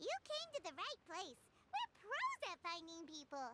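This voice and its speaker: Squeaky and extremely high in pitch, a female-sounding, put-on character voice speaks at a moderate pace. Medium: video game.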